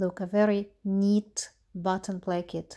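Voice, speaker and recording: A woman speaks very slowly in a medium-pitched, dark, mellow voice with monotone, flat intonation. The recording is very clean, the background silent. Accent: Russian. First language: Russian. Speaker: knitwear designer. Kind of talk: tutorial. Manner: halting.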